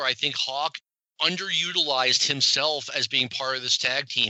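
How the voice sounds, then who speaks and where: A man talks in an ordinary speaking voice at a medium pitch, with ordinary pitch variation. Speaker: podcast host. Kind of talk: casual podcast talk.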